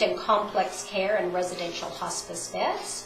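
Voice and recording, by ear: At a fairly slow pace, a woman speaks with a fairly bright tone. The room echo is audible.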